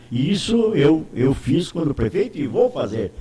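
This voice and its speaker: His pitch is fairly high for a man and swings very widely. The man speaks at a fairly slow pace. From Santa Catarina interior, Brazil. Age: 80s+. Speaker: politician. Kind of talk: interview. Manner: halting, many repetitions.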